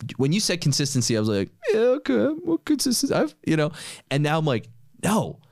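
A fairly quick voice with an American accent, very even loudness, and a dry sound with no echo against a quiet background. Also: man. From New York. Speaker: podcast host and entrepreneur; podcast host. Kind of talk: casual chat. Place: studio. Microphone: studio mic.

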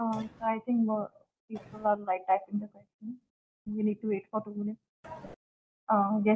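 Amid light background noise, a woman with a somewhat breathy voice speaks at a moderate pace in a monotone, flat way, pausing long and often. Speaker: webinar moderator. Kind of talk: formal speaker introductions. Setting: video call. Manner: formal. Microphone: video call.

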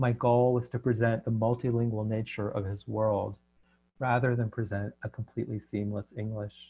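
Against a quiet background, a man speaks at a moderate pace in a dark, mellow, somewhat breathy tone with monotone, flat intonation. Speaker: translator and poet. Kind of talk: presentation. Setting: video call. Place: home room. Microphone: headset.

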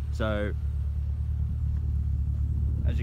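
Noticeable background noise sits behind a man's voice, which sounds dry with no echo. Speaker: car salesman. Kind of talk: casual sales walkthrough. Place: open country. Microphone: phone near.

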